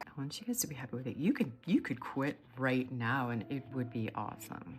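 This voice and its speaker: Music plays in the background as a woman speaks in a very deep, low pitch with ordinary pitch variation. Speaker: watercolor teacher. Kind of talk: tutorial. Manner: animated.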